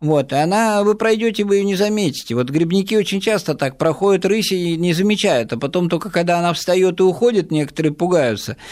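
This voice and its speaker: Here a man talks at a high pitch and a fairly quick pace, with hardly any pauses. His loudness stays very even, and his pitch variation is ordinary. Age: 60s. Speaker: ornithologist running wildlife rescue. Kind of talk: radio interview.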